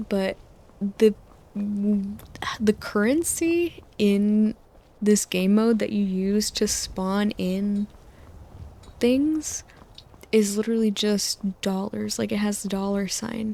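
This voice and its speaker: Soft-spoken and gentle in tone, a woman with a medium pitch and ordinary pitch variation talks at a very slow pace with long, frequent pauses. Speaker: sleep-aid video creator who narrates over game footage. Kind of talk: sleep aid rambling while playing a video game; casual talk to camera, personal anecdotes. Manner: gentle, soft-spoken.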